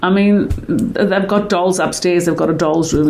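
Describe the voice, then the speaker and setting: Over noticeable background noise and audible room echo, a woman talks at a fairly quick pace with a medium pitch and ordinary pitch variation. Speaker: caterer and doula. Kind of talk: interview.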